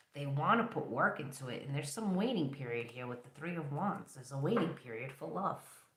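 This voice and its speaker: The speech moves at a fairly quick clip, with noticeable background noise underneath. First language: not English. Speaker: tarot reader. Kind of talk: tarot reading livestream.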